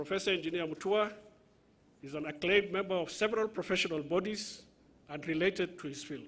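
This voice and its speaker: A man speaks with a Somali accent. His pitch is high, with ordinary variation. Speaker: university official at graduation ceremony. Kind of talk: formal introduction speech at ceremony. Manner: formal.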